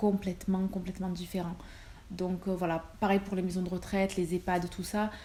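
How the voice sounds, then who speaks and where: A woman speaks at a medium pitch. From Marseille, southern France. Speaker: nurse and vlogger. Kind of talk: casual Q&A vlog. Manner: hesitant, many fillers.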